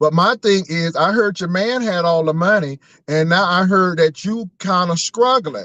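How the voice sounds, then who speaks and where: Recorded dry and close with no echo, a man speaks in a high voice with an animated tone. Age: 50s. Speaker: YouTube commentator. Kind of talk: online call-out rant.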